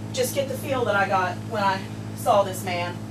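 Noticeable background noise plays under a woman who keeps a moderate pace. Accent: Appalachian. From US South, Asheville, North Carolina; North Carolina. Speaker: poet. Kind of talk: poetry reading. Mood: quiet, reflective. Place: home room.

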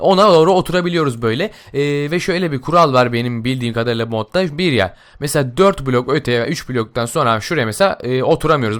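In an ordinary speaking voice at medium pitch, a man talks at a fairly quick pace with lively intonation and hardly any pauses. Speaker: gaming YouTuber. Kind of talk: game mod tutorial. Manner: casual, many filler sounds.

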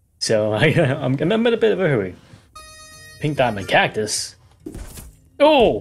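Faint music plays in the background. A man speaks at a fairly slow pace, with long, frequent pauses. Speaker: gaming youtuber. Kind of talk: gameplay commentary. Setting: home recording at laptop. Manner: animated. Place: home room.

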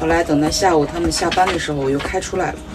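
Over clear music in the background, a woman talks with very deep, low pitch and ordinary pitch variation. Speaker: solo RV traveler vlogger. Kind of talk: casual vlog chat. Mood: relaxed, chatty, occasional laughs. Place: home room. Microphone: phone near.

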